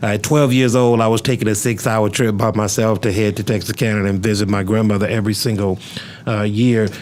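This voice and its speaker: Noticeable background noise sits behind a man with a fairly low pitch. He talks at a fairly quick pace with fairly even intonation. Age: 40s. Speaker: pastor and podcast host. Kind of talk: casual interview. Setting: studio.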